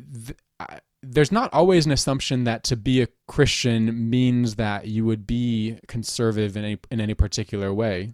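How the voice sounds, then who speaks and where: A man with an unremarkable speaking voice talks at a moderate pace and medium pitch, with ordinary pitch variation, in a dry, close sound with no echo on a very clean recording with a silent background. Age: 30s. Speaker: Anglican priest, podcast host. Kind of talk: casual conversation.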